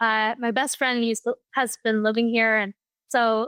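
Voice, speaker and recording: Speaking at a fairly quick pace, a woman with a fairly high voice is heard in a dry, close recording with no echo. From US, moved from Japan at age three. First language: Japanese. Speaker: architect and opera singer. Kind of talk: interview. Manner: hesitant, many fillers.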